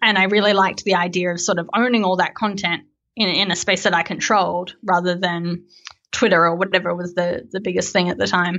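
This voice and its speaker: A woman's medium-pitched voice with an Australian accent, fairly quick and monotone, with flat intonation. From Australia, Melbourne. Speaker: software developer and company co-founder. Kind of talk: casual interview chat.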